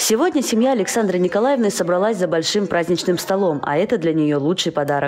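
The speech runs at a fairly quick pace with hardly any pauses over noticeable background noise. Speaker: TV news reporter. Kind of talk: TV news report narration.

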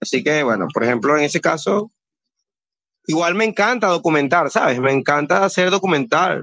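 Holding his loudness very even, a man with a fairly high pitch talks at a moderate pace with lively intonation. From Venezuela, Guayana (San Félix / Puerto Ordaz). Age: 30s. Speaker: film director. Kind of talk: interview. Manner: halting, with fillers.

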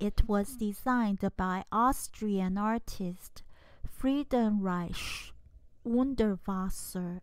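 A woman's voice of medium pitch, with a slightly mellow tone, shows ordinary pitch variation.

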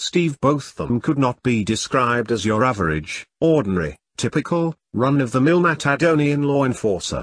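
A man with a normal speaking voice, medium pitch and lively intonation, at a moderate pace with hardly any pauses, in a dry, close sound with no echo. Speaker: author reading his own book. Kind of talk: audiobook reading of a comedic sci-fi novel. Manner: steady storyteller pace, shifting tone for characters' dialogue.

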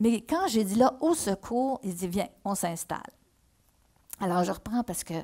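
A woman speaks at a fairly slow pace with a dark, mellow tone and fairly high pitch. Her intonation is lively, broken by long, frequent pauses, against a quiet background. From Quebec, Mauricie (Shawinigan); Quebec. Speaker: historical novelist. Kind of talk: reading aloud. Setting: stage with audience. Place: stage. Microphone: headset.

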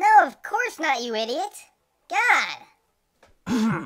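At a very slow pace, a female-sounding voice in a put-on character voice speaks at a high pitch with very wide pitch swings. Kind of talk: parody comic dub. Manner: snappy, exasperated, profane.

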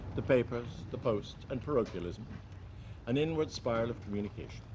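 A man with a West Cork accent is speaking. His pitch is medium and his pace fairly quick. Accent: West Cork Irish. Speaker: journalist. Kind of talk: documentary narration.

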